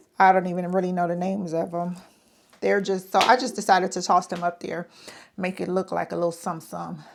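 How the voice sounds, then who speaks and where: A woman talks at a fairly quick pace in a fairly low voice, her intonation flat and monotone. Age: 50s. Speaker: lifestyle vlogger. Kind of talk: casual talk to camera. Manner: chatty.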